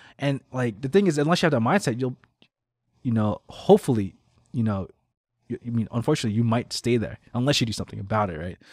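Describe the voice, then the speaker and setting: Speaking at a very fast pace with long, frequent pauses, a man uses a medium pitch, lively intonation and an animated tone in a very clean recording with a silent background and a dry, close sound with no echo. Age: 30s. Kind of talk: casual interview chat.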